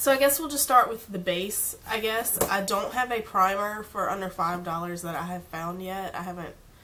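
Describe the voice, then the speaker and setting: A woman at a medium pitch and moderate pace, hardly any pauses, big swings in loudness, and noticeable background noise. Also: ordinary pitch variation. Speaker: beauty vlogger. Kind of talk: casual product review. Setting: home filming in natural light. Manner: casual, chatty.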